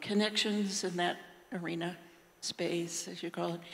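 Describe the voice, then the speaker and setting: Noticeable background noise runs under the speech, and room echo is audible too. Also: woman. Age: 70s. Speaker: audience member asking a question. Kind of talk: audience question at panel. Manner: halting.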